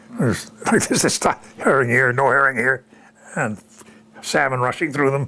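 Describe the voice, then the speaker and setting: A man talks while background noise is noticeable throughout. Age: 80s+. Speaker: retired war veteran. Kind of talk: interview answer.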